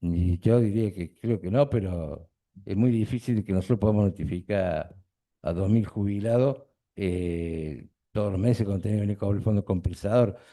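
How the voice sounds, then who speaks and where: The man talks at a moderate pace in a fairly low, dark, mellow voice with ordinary pitch variation. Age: 60s. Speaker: trial witness, retired union official. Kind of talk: court testimony.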